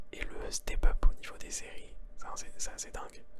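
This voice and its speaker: A man whispers over noticeable background noise. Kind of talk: ASMR whispered chat about series and pop culture. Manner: whispered, soft-spoken, casual.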